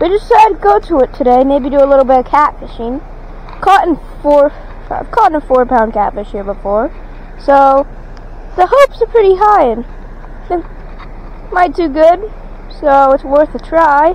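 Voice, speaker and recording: Noticeable background noise surrounds a woman speaking at a high pitch. Her pitch swings very widely, and her pauses are long and frequent. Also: moderate pace. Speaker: fishing vlogger. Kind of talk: casual outdoor vlog. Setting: outdoors at a creek. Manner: loud.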